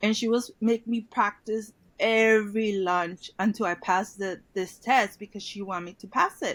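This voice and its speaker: A woman with a Mexican accent speaks at a moderate pace in a fairly high voice, her intonation fairly even but her loudness swinging widely, with hardly any pauses. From Mexico, Tijuana. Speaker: former bilingual student. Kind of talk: interview.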